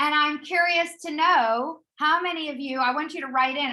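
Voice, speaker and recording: A woman's raised, projected voice, bright and sharp in tone, with ordinary pitch variation. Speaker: corporate trainer leading a professional development session. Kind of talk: interactive online workshop presentation. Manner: hesitant, many fillers and restarts.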